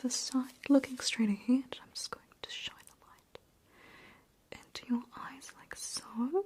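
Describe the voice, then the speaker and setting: Whispering at a very slow pace, a woman barely pauses while her loudness swings widely. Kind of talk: ASMR roleplay. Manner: soft-spoken, soothing, whispered.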